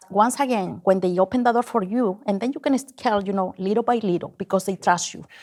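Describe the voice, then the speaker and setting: A strong non-native accent at a very fast pace. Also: woman, medium pitch for a woman, ordinary pitch variation. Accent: heavy foreign. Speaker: business owner, contractor. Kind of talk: interview.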